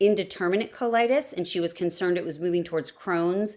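A woman speaks in an unremarkable speaking voice at a fairly low pitch with ordinary pitch variation. The recording is very clean, with a silent background. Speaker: mom with ulcerative colitis, former music teacher. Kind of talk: casual chat.

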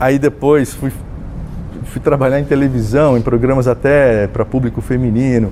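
This man's voice has a dark, mellow tone and a fairly even intonation. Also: medium pitch for a man, moderate pace. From Brazil, interior of São Paulo state (Jaú). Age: 60s. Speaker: journalist. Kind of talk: interview. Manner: hesitant, many fillers.

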